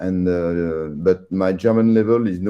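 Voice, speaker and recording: A man's very deep, low voice in a French accent, with fairly even intonation. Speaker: radio amateur. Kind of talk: casual chat.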